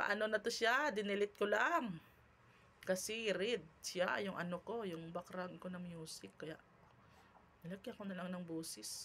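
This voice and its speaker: A woman speaks in a medium pitch at a fairly slow pace with a bright, sharp tone. Her loudness swings widely. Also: ordinary pitch variation. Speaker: cooking vlogger. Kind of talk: cooking tutorial. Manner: casual, chatty.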